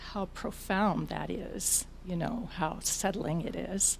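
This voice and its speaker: A woman speaks at a very slow pace in a medium pitch with ordinary pitch variation. Her tone is dark and mellow, and somewhat breathy. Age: 70s. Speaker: audience member sharing experience. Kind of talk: audience comment at a talk.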